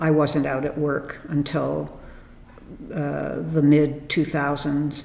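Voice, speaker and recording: The speaker goes very slowly. Behind the voice there is noticeable noise. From Canada. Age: 70s. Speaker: oral history interviewee. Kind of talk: oral history interview.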